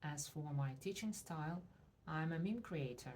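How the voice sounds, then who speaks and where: A woman speaks in a very deep, low pitch with a dark, mellow tone and a Russian accent. Her voice is somewhat breathy, with ordinary pitch variation. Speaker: language teacher. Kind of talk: promotional self-introduction.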